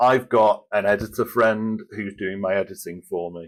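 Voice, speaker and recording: At a fairly slow pace, a man speaks in a fairly low voice on a very clean recording with a silent background. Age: 40s. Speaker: author. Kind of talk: interview. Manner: monotone.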